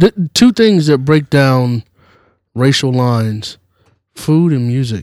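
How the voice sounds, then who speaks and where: On a very clean recording with a silent background and a dry, close sound with no echo, a man with an American accent speaks at a medium pitch and a very slow pace, with lively intonation and long, frequent pauses. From US South. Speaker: regular podcast guest. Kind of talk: casual chat.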